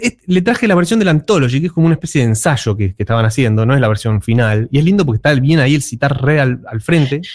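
In a dry, close sound with no echo, a man talks at a very fast pace, his somewhat breathy, fairly high voice making very wide pitch swings. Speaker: music columnist. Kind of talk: radio music segment.

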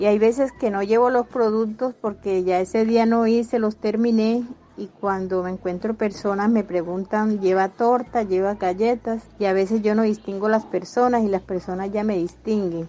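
A woman speaks at a moderate pace with hardly any pauses. Her intonation is fairly even, and there is noticeable background noise. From Colombia, Antioquia (Zaragoza). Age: 60s. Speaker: small business owner, baker. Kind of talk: personal testimony.

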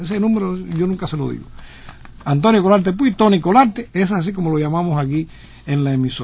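A man with a high pitch and lively intonation at a fairly quick pace, over noticeable background noise. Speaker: radio host. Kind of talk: radio interview.

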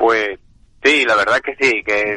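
The man's voice has a bright, sharp tone. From Andalusia, Seville province. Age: 40s. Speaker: chef and family restaurant owner. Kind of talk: interview.

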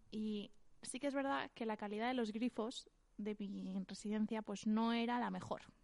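At a moderate pace, a woman speaks in a plain, everyday voice with a fairly high pitch and fairly even intonation. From Valencian Community, Spain. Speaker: podcast co-host. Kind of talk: casual chat.

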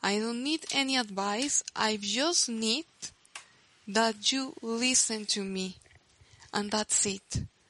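Fairly high female voice with a Spanish accent, very slow with long, frequent pauses, ordinary pitch variation, and a dry, close sound with no echo. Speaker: podcaster. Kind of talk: personal monologue podcast.

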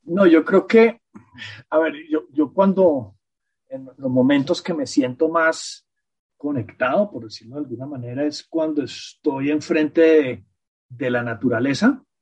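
Speaking at a fairly slow pace, a man with fairly high pitch uses lively intonation and big swings in loudness. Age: 50s. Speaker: podcast guest, host's partner. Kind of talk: casual chat. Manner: halting.

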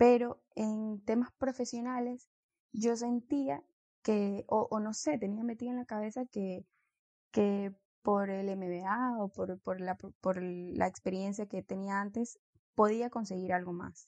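Recorded with a dry, close sound and no echo, the speaker talks at a very slow pace with a coastal Ecuadorian accent. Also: woman, fairly high pitch for a woman, ordinary pitch variation. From Ecuador, Guayaquil. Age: 20s. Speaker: engineer. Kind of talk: casual chat.

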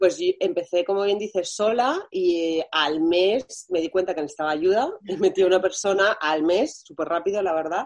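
A woman speaks in a normal speaking voice at medium pitch with ordinary pitch variation. Her pace is moderate, with hardly any pauses. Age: 30s. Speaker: fashion brand founder. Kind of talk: interview.

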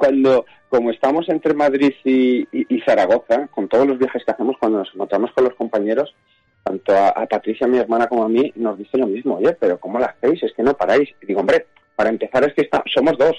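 With a dark, mellow tone at medium pitch, a man speaks at a very fast pace with ordinary pitch variation, the sound dry and close with no echo. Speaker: film director. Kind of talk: radio interview.

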